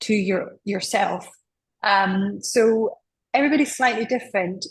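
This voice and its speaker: A woman speaks in a somewhat breathy voice with a Scottish accent. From Scotland. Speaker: doctor, menopause specialist. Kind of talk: interview.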